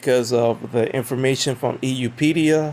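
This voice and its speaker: A man at a medium pitch with monotone, flat intonation. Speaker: religious video blogger. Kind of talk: casual monologue answering comments. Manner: loud at times; halting, many fillers.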